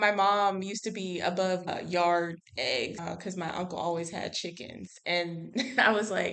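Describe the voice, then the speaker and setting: A woman talks at a fairly slow pace and medium pitch. Her intonation is fairly even, in an ordinary speaking voice. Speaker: podcast host. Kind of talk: casual podcast conversation.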